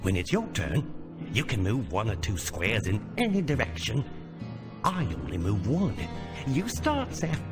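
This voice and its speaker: A man uses a put-on character voice, fairly low in pitch, at a moderate pace with long, frequent pauses. Loud music plays in the background. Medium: video game. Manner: clipped, terse, ungrammatical phrasing.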